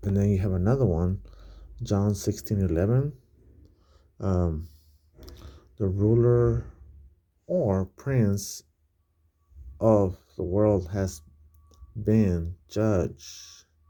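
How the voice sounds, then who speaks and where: Quiet and very slow, a man speaks at a fairly low pitch in a dark, mellow tone with ordinary pitch variation and long, frequent pauses, on a very clean recording with a silent background. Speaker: bible study vlogger. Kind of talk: casual bible study talk. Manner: speaking quietly; halting, many fillers.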